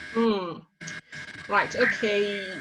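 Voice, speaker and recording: There is noticeable background noise behind this woman. She speaks at a fairly slow pace with ordinary pitch variation. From Africa. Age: 60s. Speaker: cookbook author. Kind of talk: interview.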